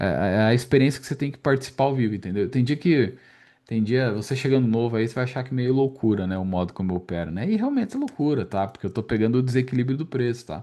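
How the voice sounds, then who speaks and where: Against a quiet background, a man talks at a very fast pace with ordinary pitch variation. His medium-pitched voice carries a dark, mellow tone. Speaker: day trading instructor. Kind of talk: market recap tutorial. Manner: casual, filler-heavy.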